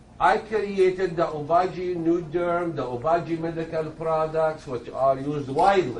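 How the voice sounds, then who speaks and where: A man's high-pitched voice at a moderate pace, with ordinary pitch variation and hardly any pauses, amid audible room echo and noticeable background noise. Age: 60s. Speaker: dermatologist. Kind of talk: lecture.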